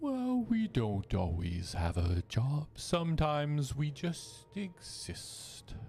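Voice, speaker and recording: Putting on a character voice, a man speaks very slowly with hardly any pauses, his fairly high pitch swinging very widely over clear background noise. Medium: actual play. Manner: formal, unhurried.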